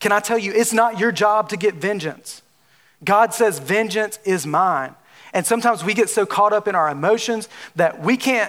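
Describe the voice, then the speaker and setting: A man's high voice with a Southern US accent and ordinary pitch variation. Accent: Southern drawl. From Alabama. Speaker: preacher. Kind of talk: sermon. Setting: church with audience. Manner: animated.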